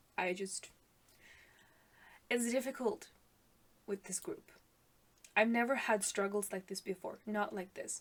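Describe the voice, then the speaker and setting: A woman's fairly high voice with a non-native accent, at a fairly slow pace with ordinary pitch variation and long, frequent pauses. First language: not English. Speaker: music reaction youtuber. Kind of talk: casual reaction commentary. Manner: hesitant, many fillers.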